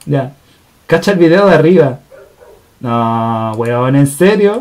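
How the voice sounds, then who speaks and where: Speaking at a very slow pace with a Chilean accent, the man's pitch swings very widely. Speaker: live stream host. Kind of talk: casual chat. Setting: live stream. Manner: animated.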